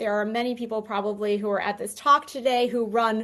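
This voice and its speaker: The quiet background carries a woman's voice at a fairly high pitch. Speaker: conference speaker. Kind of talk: conference presentation. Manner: fast.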